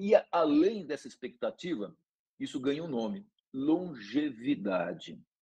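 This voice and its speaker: With a dark, mellow tone, a man talks at a fairly slow pace, his pitch swinging very widely. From Brazil, São Paulo state countryside. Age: 60s. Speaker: neurology professor. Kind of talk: lecture.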